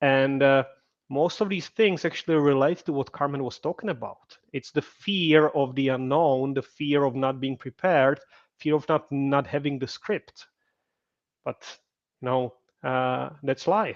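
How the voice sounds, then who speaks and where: A man with a Czech accent and a fairly high pitch speaks at a moderate pace with long, frequent pauses, the sound dry and close with no echo. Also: ordinary pitch variation. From Czech Republic. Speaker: podcast host. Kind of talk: live webinar interview.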